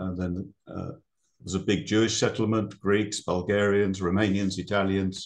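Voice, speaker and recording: Very deep, low-pitched man with a British accent, monotone, flat intonation and moderate pace over a quiet background. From Britain. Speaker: ecologist. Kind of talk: presentation. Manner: hesitant, many fillers.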